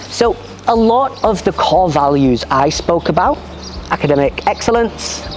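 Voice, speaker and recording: Noticeable background noise runs under the speaker. The delivery is fairly slow. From UK. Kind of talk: interview answers.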